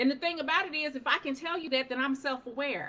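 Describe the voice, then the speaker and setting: In a raised, projected voice, a woman sounds animated, with a bright, sharp tone and a high pitch. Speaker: life coach. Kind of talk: motivational talk on a livestream. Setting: live stream. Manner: loud.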